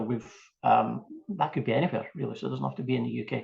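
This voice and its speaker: A Scottish accent over a quiet background. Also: man. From Scotland, Fife. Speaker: small business owner. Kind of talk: interview.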